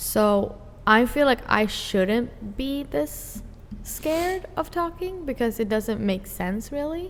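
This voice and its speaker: A woman with a non-native accent speaks at a very slow pace in a high pitch. Her pitch swings very widely. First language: not English. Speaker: podcast co-host. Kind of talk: casual chat.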